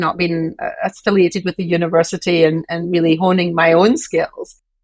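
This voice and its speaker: A woman speaks at a fairly quick pace. She has a Scottish accent. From Scotland. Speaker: university president. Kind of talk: interview.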